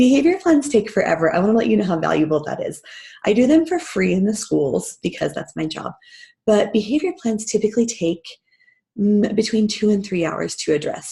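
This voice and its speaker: With a dark, mellow tone and some vocal fry, a woman speaks at a fairly quick pace in a fairly high pitch that makes very wide swings. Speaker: parenting mentor and school behavior specialist. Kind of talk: online training webinar.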